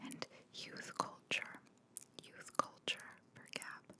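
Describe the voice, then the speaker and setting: A very slow whisper against noticeable background noise. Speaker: marketer. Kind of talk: ASMR marketing commentary. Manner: whispered; relaxed.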